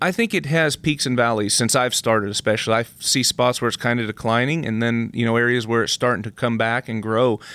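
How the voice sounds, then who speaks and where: A man's unremarkable speaking voice at medium pitch, fairly quick in pace, with fairly even intonation. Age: 30s. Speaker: professional rodeo athlete. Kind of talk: interview.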